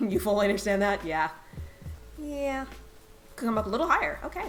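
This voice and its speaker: There is noticeable background noise and audible room echo as a woman with a fairly high voice speaks at a fairly quick pace, her pitch swinging very widely. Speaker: game streamer. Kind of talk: live gameplay stream chat. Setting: live stream. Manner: soft-spoken.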